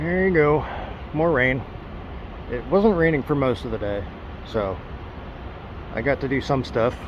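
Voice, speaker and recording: A man's fairly high voice at a moderate pace, lively in intonation, broken by long, frequent pauses over noticeable background noise. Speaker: traveling vlogger and street musician. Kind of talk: casual vlog to camera. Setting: outdoors. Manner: hesitant, many fillers.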